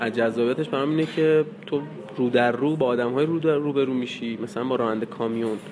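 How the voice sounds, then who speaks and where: Noticeable background noise sits behind a man speaking very fast. His pitch is medium, with ordinary pitch variation. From Iran, North Khorasan (Bojnurd). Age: 20s. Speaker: news photographer. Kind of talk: interview.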